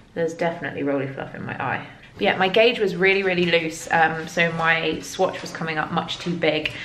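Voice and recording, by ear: With audible room echo, a woman speaks at a low pitch in a fairly bright tone, using ordinary pitch variation and a fairly quick pace.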